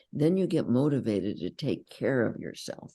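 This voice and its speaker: Her tone dark and mellow with vocal fry, a woman speaks with very wide pitch swings. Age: 80s+. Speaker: psychologist and inner bonding teacher. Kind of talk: interview.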